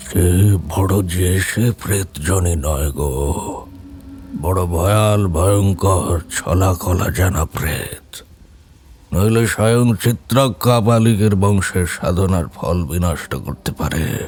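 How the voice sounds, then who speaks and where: Putting on a character voice, a man booms at a very slow pace in a very deep, low pitch. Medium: audio drama. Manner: grave, thundering.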